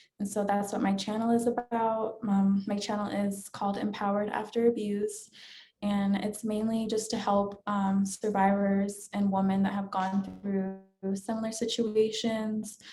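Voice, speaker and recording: With an American accent, a woman speaks at a fairly slow pace in a dark, mellow, somewhat breathy tone, at medium pitch with monotone, flat intonation. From US East Coast. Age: 20s. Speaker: domestic violence survivor. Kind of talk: interview testimony. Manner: hesitant, many fillers.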